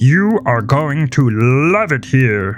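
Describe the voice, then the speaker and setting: A man's growling put-on character voice at a medium pitch over clear background music. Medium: audio drama. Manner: exuberant, showman-like, laughing.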